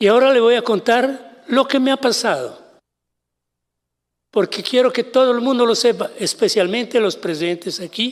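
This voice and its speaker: A man with an extremely high pitch, at a moderate pace. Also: ordinary pitch variation. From Italy. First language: Italian (speaking Spanish). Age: 70s. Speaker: kidnapping victim, translator. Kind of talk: testimony.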